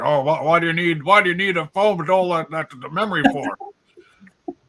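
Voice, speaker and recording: A man uses a put-on character voice, pitched high for a man. He goes at a moderate pace in a dry, close sound with no echo. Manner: complaining, crotchety.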